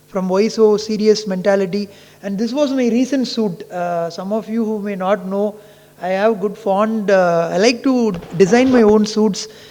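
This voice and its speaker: Over noticeable background noise and audible room echo, a man speaks at a high pitch. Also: fairly even intonation, moderate pace. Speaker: ophthalmologist. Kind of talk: conference talk.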